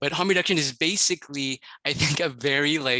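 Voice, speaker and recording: The man's bright, sharp voice sits at a medium pitch with ordinary pitch variation, recorded with a dry, close sound with no echo and a quiet background. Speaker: public health coordinator. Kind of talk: panel discussion. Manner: fast.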